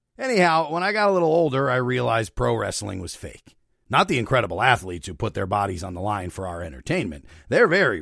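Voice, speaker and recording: A man with vocal fry speaks very fast in a fairly low pitch, with very wide pitch swings and big swings in loudness. The recording is very clean, with a silent background. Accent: American. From northeastern Pennsylvania, Luzerne County. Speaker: podcast host. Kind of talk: scripted narration with commentary. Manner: animated.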